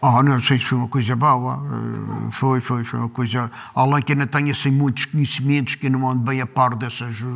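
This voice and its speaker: A man talks at a moderate pace in a monotone, flat delivery, with hardly any pauses against a quiet background. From Madeira, São Jorge; Madeira. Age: 60s. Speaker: farmer. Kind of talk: oral history interview. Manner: halting, with frequent repetitions. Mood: calm reminiscing. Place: home room.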